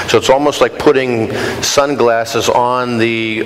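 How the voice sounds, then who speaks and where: A man speaks fairly slowly at a medium pitch, his intonation flat and monotone. Noticeable background noise and audible room echo fill the recording. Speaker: glass industry executive giving a talk. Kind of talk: lecture Q&A answer. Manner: loud.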